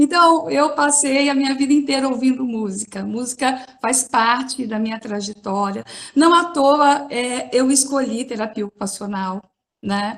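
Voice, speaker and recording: A woman with a São Paulo accent, high in pitch, at a fairly slow pace with ordinary pitch variation. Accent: São Paulo accent, noticeable. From São Paulo, Brazil. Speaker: occupational therapist. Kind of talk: panel talk.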